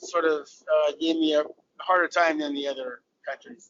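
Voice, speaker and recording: A man talks with an American accent. His intonation is lively. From Southern California. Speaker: former cricketer. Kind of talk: interview.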